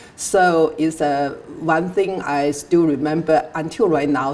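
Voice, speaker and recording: A woman speaks in a Chinese accent at a very deep, low pitch. Her pace is fairly slow and her intonation fairly even. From southern China. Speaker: immigrant interviewee. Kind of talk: interview. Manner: halting, many fillers.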